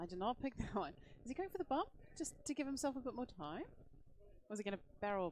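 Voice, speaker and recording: Speaking in an Australian accent, a woman with a high pitch talks at a very fast pace with very wide pitch swings and long, frequent pauses. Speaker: game commentator. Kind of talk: live commentary.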